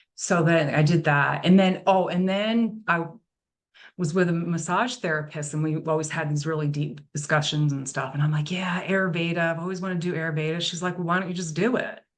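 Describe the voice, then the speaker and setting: Audible room echo surrounds a woman with an American accent who talks at a fairly quick pace, fairly low in pitch and with fairly even intonation. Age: 60s. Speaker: nutrition and lifestyle coach. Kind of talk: interview conversation.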